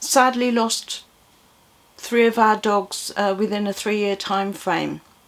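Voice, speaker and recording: A woman's fairly high voice in an English accent. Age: 60s. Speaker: vlogger. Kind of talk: casual chat. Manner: rambling, hesitant with repetitions.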